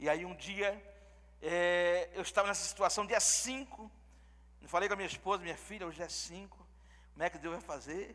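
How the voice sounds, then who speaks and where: This man's high-pitched voice has a bright, sharp tone, ordinary pitch variation and a moderate pace. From Pernambuco, Brazil. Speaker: visiting pastor. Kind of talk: sermon. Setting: church service with congregation.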